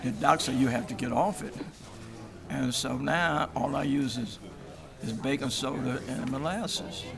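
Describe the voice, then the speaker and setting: Amid noticeable background noise and audible room echo, a man speaks at a medium pitch and a moderate pace with lively intonation. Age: 80s+. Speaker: prostate cancer patient. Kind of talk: interview. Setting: symposium event, on camera. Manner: halting.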